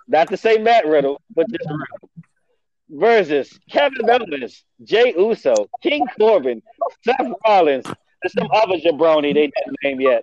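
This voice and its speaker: High-pitched and animated, a man speaks at a fairly slow pace with very wide pitch swings, the sound dry and close with no echo. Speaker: wrestling podcast host. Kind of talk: casual banter about wrestling. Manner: animated, joking, profane.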